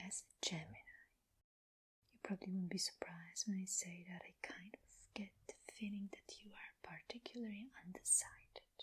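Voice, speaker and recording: The soft-spoken delivery moves at a moderate pace with long, frequent pauses. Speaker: tarot reader. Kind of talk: ASMR tarot reading.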